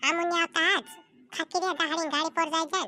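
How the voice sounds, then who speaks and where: A cartoonish character voice at a moderate pace, recorded dry and close with no echo. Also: woman. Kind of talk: comic rural dialect cartoon voice.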